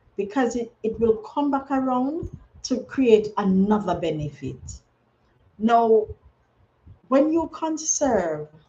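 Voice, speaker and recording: The voice has a dark, mellow tone and very wide pitch swings, moving at a very slow pace with long, frequent pauses. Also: woman, fairly high pitch for a woman. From Jamaica. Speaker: conservation livestreamer. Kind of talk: live stream talk. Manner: halting, repeats words.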